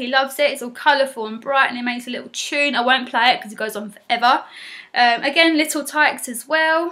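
A woman's raised, projected voice, bright and sharp, at a very fast pace with ordinary pitch variation and big swings in loudness over a quiet background. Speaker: parent vlogger. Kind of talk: casual vlog chat. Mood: warm, affectionate. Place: home room. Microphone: webcam.

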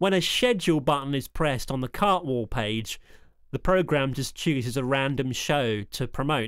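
An ordinary speaking voice at a moderate pace, with ordinary pitch variation, recorded very cleanly against a silent background. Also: man, fairly high pitch for a man. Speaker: hospital radio engineer. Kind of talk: demo walkthrough with sample radio DJ links. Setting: screen recording walkthrough. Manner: upbeat, chirpy DJ patter in the sample links.

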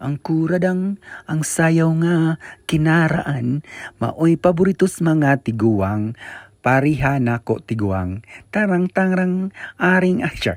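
In a very clean recording over a silent background, with dry, close sound and no echo, a man with a fairly high pitch talks at a very slow pace with lively intonation. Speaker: vlogger. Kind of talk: vlog tour narration. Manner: animated.

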